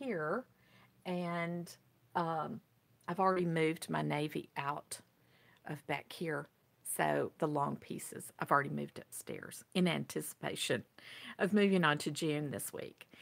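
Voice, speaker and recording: At a fairly slow pace, a woman with a plain, everyday voice speaks at a fairly low pitch with ordinary pitch variation. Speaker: senior fashion vlogger. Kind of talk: casual talk to camera.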